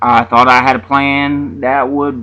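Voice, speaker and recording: A man speaks with an Appalachian accent in a bright, sharp tone. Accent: Appalachian Southern. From US South, Southwest Virginia mountains. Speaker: independent author vlogger. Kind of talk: casual vlog monologue. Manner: halting, many fillers and repetitions.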